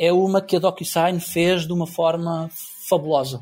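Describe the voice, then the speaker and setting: A man's high-pitched voice. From Portugal. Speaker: tech marketing executive. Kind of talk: interview.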